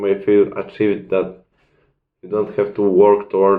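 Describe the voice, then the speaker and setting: A man talks with a non-native accent. His intonation is monotone and flat. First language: not English. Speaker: self-improvement video creator. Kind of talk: casual talking-head advice video. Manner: halting, searching for words.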